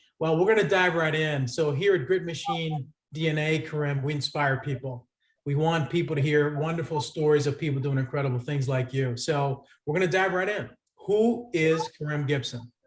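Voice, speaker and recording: The voice belongs to a man with an American accent. It is somewhat breathy and fairly high in pitch. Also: ordinary pitch variation, moderate pace. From Lynn, Massachusetts, US. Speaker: podcast host. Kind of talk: interview.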